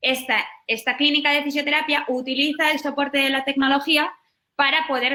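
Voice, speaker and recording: Her voice raised and projected, a woman with a high pitch speaks in a bright, sharp tone. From Basque Country, northern Spain. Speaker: startup founder. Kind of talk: webinar talk.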